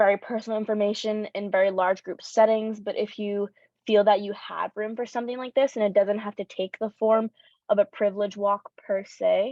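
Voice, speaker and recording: A woman talks at a fairly quick pace. Her fairly high voice stays monotone and flat. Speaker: youth workshop facilitator. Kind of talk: workshop presentation. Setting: room with audience and Zoom. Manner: fast.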